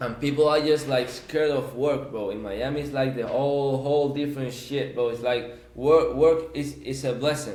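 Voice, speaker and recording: A man talks at a moderate pace with hardly any pauses and fairly even intonation in a fairly high pitch. Noticeable background noise and audible room echo surround him. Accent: Spanish. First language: Spanish. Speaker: podcast guest. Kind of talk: casual chat. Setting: podcast recording. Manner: halting.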